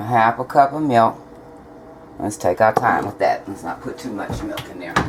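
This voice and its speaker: A woman's voice over noticeable background noise. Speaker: home cooking video maker. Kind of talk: cooking tutorial. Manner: casual, chatty.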